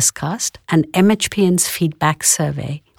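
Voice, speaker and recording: A normal speaking voice from a woman, fairly low-pitched, with lively intonation and a dry, close sound with no echo. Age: 50s. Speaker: clinical psychologist. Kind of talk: casual chat.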